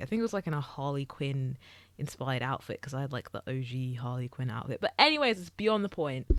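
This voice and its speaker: With a British accent, a woman speaks in a very deep, low pitch, her intonation lively. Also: very clean recording, silent background. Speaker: YouTuber. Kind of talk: casual chat. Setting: recorded on camera. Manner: filler-heavy, rambling speech.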